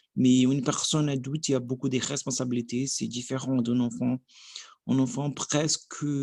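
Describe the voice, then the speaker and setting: A man with a Portuguese accent speaks at a moderate pace. His pitch is medium and his intonation monotone and flat. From Brazil. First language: Portuguese (speaking French). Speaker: language learner vlogger. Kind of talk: language practice monologue. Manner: halting.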